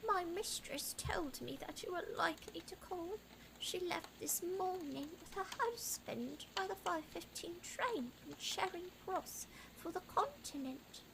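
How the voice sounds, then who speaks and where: A woman uses a put-on character voice at an extremely high pitch, speaking at a fairly slow pace over clear background noise. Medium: virtual streamer. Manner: sardonic, terse.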